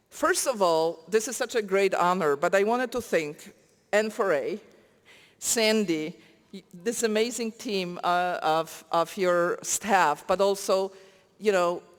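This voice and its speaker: In a very clean recording with a silent background, the speaker talks fairly slowly in a Polish accent. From Poland. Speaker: nonprofit coalition leader, award recipient. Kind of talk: award acceptance speech.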